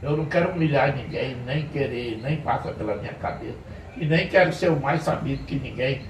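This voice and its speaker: A man talks at a moderate pace. Room echo is audible, and there is noticeable background noise. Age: 70s. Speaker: pastor. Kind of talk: informal sermon talk to church men's group. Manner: conversational.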